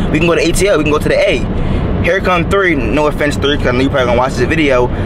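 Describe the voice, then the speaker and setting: A man is speaking with ordinary pitch variation. Noticeable background noise runs beneath him. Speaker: college student vlogger. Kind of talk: casual vlog storytelling. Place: car. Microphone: phone near.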